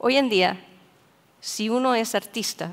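Ordinary pitch variation marks this delivery at a fairly slow pace. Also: woman. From Chile. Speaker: AI researcher; speaker. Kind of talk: conference talk. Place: hall. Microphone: headset.

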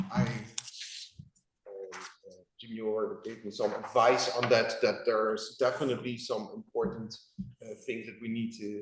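A man with a European accent at a fairly slow pace. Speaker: property owner applicant. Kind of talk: public meeting presentation. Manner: hesitant, many fillers.

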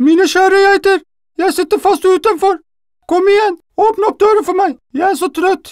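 A put-on character voice at an extremely high pitch is heard over faint music in the background. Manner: sweet, coaxing, feigning tiredness.

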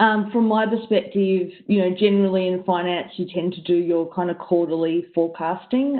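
With a normal speaking voice, a woman talks at a moderate pace and fairly low pitch, her intonation fairly even against a quiet background. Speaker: panelist. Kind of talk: panel discussion answer. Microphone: video call.

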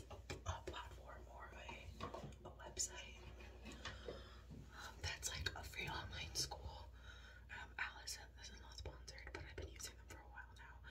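Over noticeable background noise, a woman is talking. Her pace is fairly slow. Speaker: ASMR vlogger. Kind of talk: ASMR skincare chat. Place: bathroom. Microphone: phone near.

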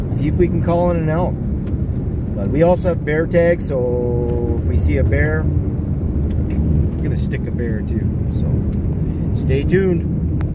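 Loud background noise surrounds a man speaking at a very slow pace. His pitch variation is ordinary, and the sound is dry with no echo. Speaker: hunter vlogger. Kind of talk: casual vlog chat. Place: car. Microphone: phone near.

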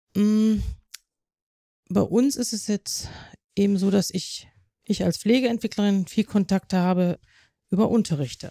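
A woman speaks at a medium pitch with a dark, mellow tone, recorded very cleanly against a silent background with a dry, close sound and no echo. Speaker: nurse development specialist. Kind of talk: interview. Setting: on-site recording at hospital.

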